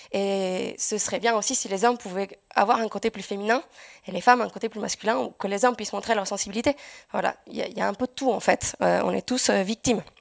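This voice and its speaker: Talking at a very fast pace with ordinary pitch variation, the voice sounds dry and close with no echo. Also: woman. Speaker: software developer. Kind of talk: conference talk. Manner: hesitant.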